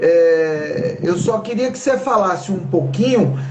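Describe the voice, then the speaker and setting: A man with a Bahian accent at a fairly slow pace, with audible room echo and noticeable background noise. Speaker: talk show host. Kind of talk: live stream talk.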